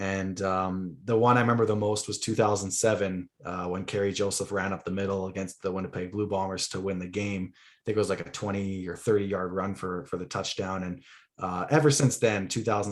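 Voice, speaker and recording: A man with a Canadian accent has an ordinary speaking voice, fairly low in pitch and fairly even in intonation. He barely pauses, and the recording is very clean with a silent background. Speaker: football podcast guest, sports writer. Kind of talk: casual chat.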